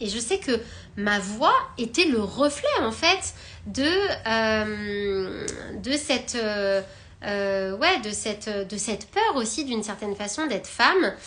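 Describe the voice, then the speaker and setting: Against noticeable background noise, a woman talks at a very slow pace in a fairly high pitch, with lively intonation and long, frequent pauses. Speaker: spiritual wellbeing coach. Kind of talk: live stream talk. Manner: hesitant, many filler words.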